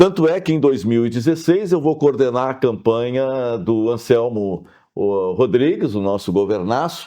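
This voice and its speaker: Against a quiet background, a man speaks at a moderate pace. His dark, mellow tone sits at a medium pitch. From southern Brazil (Pelotas, Rio Grande do Sul). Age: 60s. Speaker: lawyer and mayoral candidate. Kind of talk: interview.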